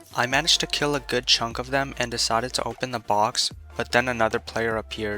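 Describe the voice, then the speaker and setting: With music in the background, a man speaks very fast at a medium pitch with ordinary pitch variation. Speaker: gaming YouTuber. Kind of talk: gameplay video narration. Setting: home recording, rough audio quality.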